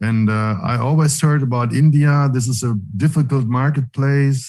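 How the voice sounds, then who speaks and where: This man has a non-native accent, a medium pitch and a somewhat breathy voice, talking at a moderate pace with ordinary pitch variation. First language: not English. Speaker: online meeting host. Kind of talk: online leadership call interview. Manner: halting.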